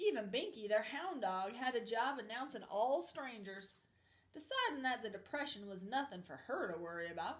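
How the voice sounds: Lively intonation in a natural reading voice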